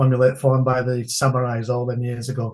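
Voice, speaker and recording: A man speaks with a northern English accent at a medium pitch. His intonation is monotone and flat, and his voice is somewhat breathy. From England. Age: 60s. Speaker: entrepreneur and martial arts instructor. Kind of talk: podcast interview.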